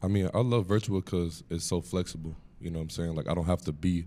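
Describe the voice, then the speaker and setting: A man's very deep, low voice in an American accent, dark and mellow in tone, very fast, with fairly even intonation. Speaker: college basketball player. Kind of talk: media day interview.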